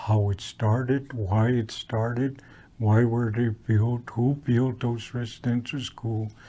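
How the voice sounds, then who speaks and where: Over a quiet background, a man speaks very slowly in a dark, mellow, somewhat breathy tone at medium pitch, his intonation monotone and flat. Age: 70s. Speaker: residential school survivor, storyteller. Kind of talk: testimony. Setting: historical park presentation. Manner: halting, many fillers and repetitions.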